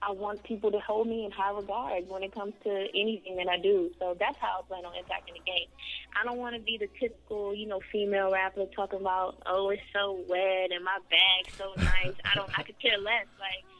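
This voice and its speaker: Over music in the background, a woman speaks fairly quickly in a flat, monotone intonation. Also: medium pitch for a woman, big swings in loudness. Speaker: rapper. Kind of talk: radio interview. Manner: soft-spoken.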